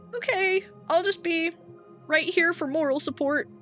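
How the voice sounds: A put-on character voice, female-sounding and extremely high-pitched, at a moderate pace over clear background music.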